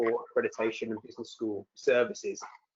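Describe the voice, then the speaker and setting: The speaker has a British accent. The delivery comes at a very fast pace. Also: man. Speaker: accreditation director at a business education association. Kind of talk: webinar presentation. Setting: online webinar.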